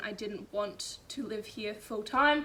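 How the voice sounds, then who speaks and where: Noticeable background noise can be heard. Over it, a woman speaks at a fairly high pitch. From Australia, Byron Shire and Blue Mountains. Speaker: vlogger and university student. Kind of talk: casual vlog Q&A. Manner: chatty, self-deprecating.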